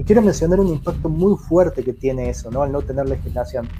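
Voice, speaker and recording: A man races along at a very fast pace while noticeable background noise carries on. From Argentina. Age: 30s. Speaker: cybersecurity expert. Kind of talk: interview.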